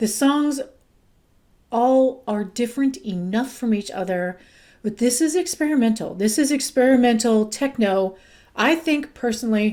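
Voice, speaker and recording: On a very clean recording with a silent background, a woman's high voice has a dark, mellow tone and ordinary pitch variation. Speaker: music reviewer youtuber. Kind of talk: casual music review monologue. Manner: halting, stumbling over words.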